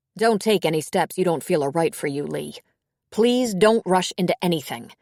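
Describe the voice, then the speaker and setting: A woman puts on a growling character voice at medium pitch, with lively intonation and a moderate pace. The very clean recording has a silent background and a dry, close sound with no echo. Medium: read story. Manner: blunt, sharp-tongued.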